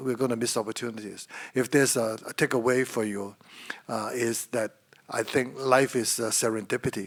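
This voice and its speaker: This man speaks in an American accent. His pace is moderate and his intonation fairly even. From Hong Kong. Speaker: former financial secretary. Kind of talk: public lecture conversation.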